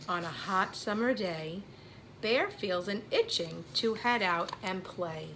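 The voice heard here is a natural reading voice.

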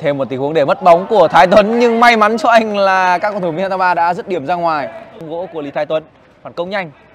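Very fast speech from a man pitched high, with big swings in loudness. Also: ordinary pitch variation. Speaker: football commentator. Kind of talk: live sports commentary. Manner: animated; fast-paced.

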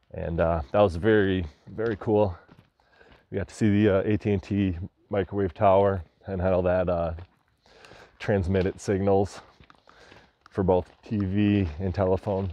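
The intonation stays monotone and flat at a moderate pace, broken by long, frequent pauses. The sound is dry, with no echo. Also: man, very deep, low pitch for a man. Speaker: explorer vlogger. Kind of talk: casual vlog chat. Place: open country. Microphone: lapel.

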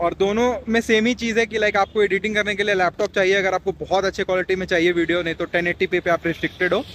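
The speech runs at a fast pace with little pitch movement. Its tone is fairly bright. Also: man, high pitch for a man.

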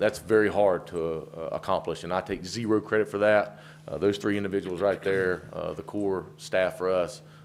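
In a strong Southern US accent, the speaker moves at a moderate pace with ordinary pitch variation, and the recording is very clean with a silent background. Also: man. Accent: deep Southern. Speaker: campground owner. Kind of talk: public address at a council meeting. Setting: county commissioners' meeting room. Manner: halting, many fillers.

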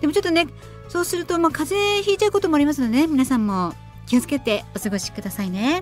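A woman speaks very fast in a high pitch. Her pitch swings very widely over faint background music. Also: dry sound with no echo. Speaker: radio personality. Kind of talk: radio show host talk. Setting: studio. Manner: friendly, chatty. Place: studio.

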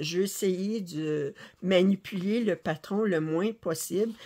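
A woman speaks with a Quebec accent. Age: 60s. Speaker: cross-stitch YouTuber. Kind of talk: casual chat and tutorial. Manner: halting. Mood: relaxed, chatty. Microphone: phone near.

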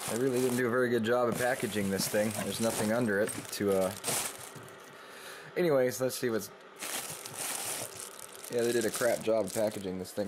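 A man speaks at a fairly quick pace with fairly even intonation and a fairly low pitch. Noticeable background noise sits behind him. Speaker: CB radio hobbyist. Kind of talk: casual review talk. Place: home room. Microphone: phone near.

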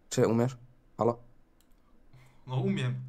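A man's dark, mellow voice at a moderate pace. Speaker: streamer friend on Discord. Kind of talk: casual banter. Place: home room.

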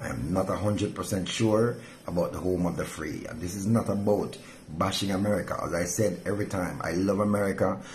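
Fairly quick pace and fairly even intonation, over light background noise. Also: man. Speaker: pastor. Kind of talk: devotional sermon. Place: home room. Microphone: phone near.

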